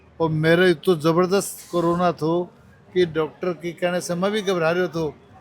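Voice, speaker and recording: Flat and monotone in intonation, a man speaks at a high pitch. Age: 70s. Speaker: medical camp organizer. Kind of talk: interview.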